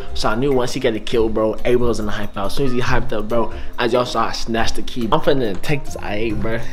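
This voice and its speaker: Very fast speech with fairly even intonation over clear background music. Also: man. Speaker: vlogger. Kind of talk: casual vlog chat. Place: home room. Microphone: phone near.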